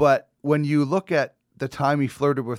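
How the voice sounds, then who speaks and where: On a very clean recording with a silent background and a dry, close sound with no echo, a man with a Canadian accent talks slowly-ish at a fairly slow pace, in an unremarkable speaking voice of medium pitch. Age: 40s. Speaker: podcast host, former sports reporter. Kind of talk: casual chat.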